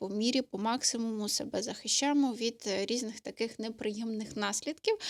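An unremarkable speaking voice from a woman at a fairly high pitch, fairly quick in pace with ordinary pitch variation, in a very clean recording with a silent background and a dry, close sound with no echo. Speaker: vlogger. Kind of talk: casual chat. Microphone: studio microphone.

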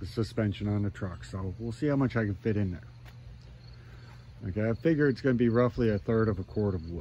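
A man with a fairly low, dark, mellow voice talks at a fairly quick pace with very wide pitch swings. The sound is dry with no echo, with light background noise. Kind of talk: casual vlog chat. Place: garden. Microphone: phone near.

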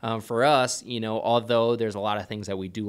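A man with an ordinary speaking voice, fairly low pitch and a fairly quick pace, over a quiet background. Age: 30s. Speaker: pastor; church pastor. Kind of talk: casual chat. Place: studio. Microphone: studio mic.

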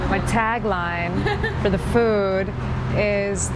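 A woman speaks in a dry recording with no echo, with music playing in the background. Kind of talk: interview answer. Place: cafe. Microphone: camera far.

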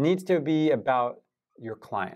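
The background stays quiet. Against it, a man talks with lively intonation. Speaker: sales trainer. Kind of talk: tutorial. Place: studio.

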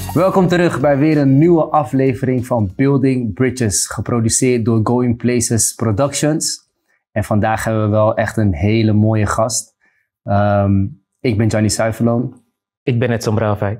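Faint music plays behind a man speaking. His loudness stays very even, with ordinary pitch variation. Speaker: podcast host. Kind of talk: interview introduction. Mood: friendly, laughing. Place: studio. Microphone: lapel.

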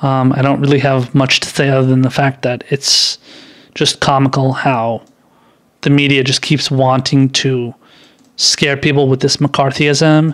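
A man's fairly high, monotone, flat voice at a fairly slow pace, very even in loudness, over a quiet background. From Iran. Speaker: political commentary YouTuber. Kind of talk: political commentary monologue. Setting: live stream with chat. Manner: halting, many fillers and restarts. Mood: scornful, casual. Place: home room. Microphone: studio mic.

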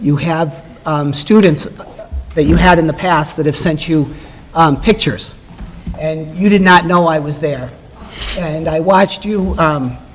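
Over light background noise, a man talks with fairly even intonation and long, frequent pauses. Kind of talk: formal tribute speech. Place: hall. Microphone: podium.

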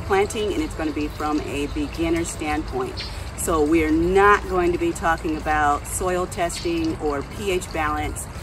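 A woman talks at a moderate pace. Noticeable background noise can be heard. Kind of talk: casual vlog chat. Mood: friendly, relaxed. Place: garden. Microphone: camera far.

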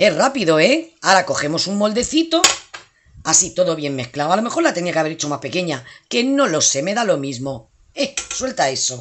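Pitch swings very widely throughout. The pace stays moderate. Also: woman. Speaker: cooking youtuber. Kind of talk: cooking tutorial. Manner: animated.

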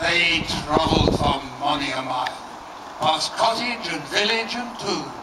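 Loud background noise fills the recording. A man speaks at a fairly slow pace. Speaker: performer. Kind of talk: poetry reading. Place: garden. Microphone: camera far.

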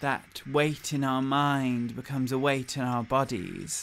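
Music plays in the background as the voice moves at a very slow pace with a soothing, calm tone. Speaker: hypnosis meditation guide. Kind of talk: guided hypnosis meditation. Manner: slow, soothing, calm and hypnotic; gently directive, with pauses and repeated words.

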